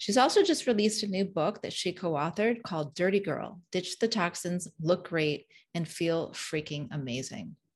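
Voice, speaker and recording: Speaking at a moderate pace with hardly any pauses, a woman has a normal speaking voice, a fairly low pitch and lively intonation against a quiet background. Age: 50s. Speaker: podcast host and health coach. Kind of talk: scripted intro; interview podcast.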